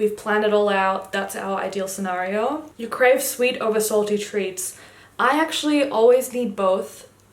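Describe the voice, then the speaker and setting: Animated in tone, a woman talks at a moderate pace and a fairly high pitch with ordinary pitch variation, against noticeable background noise. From Germany (Düsseldorf), moved to Australia at ten. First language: German. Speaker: YouTuber. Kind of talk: casual chat.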